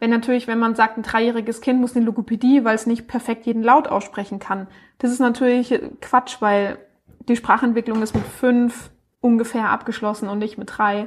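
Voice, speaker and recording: A woman's fairly high, monotone, flat voice at a moderate pace on a very clean recording with a silent background. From Baden-Württemberg, Baden-Baden. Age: 20s. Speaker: speech therapist and startup founder. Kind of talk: interview.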